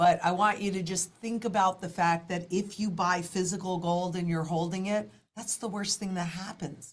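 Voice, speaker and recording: Speaking at a moderate pace with hardly any pauses, a woman uses a somewhat breathy, medium-pitched voice and fairly even intonation. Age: 60s. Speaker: financial market analyst. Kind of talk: interview.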